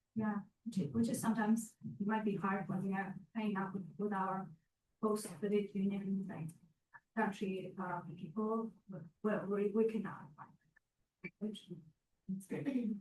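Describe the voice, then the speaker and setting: A woman of medium pitch speaks with fairly even intonation and a somewhat breathy quality, leaving long, frequent pauses. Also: moderate pace. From Central Asia. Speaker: university student. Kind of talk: class discussion.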